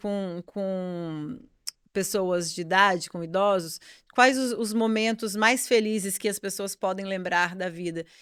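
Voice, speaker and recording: The recording is very clean, and the background is silent. A woman talks at a medium pitch. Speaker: yoga teacher and podcast co-host. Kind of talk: casual chat. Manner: fast.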